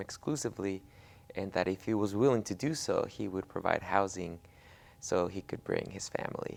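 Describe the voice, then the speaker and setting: In a Spanish accent, a man talks at a moderate pace with a fairly low pitch. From Mexico, moved to Oregon at ten. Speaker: immigrant rights activist. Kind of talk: interview testimony. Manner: halting, many fillers.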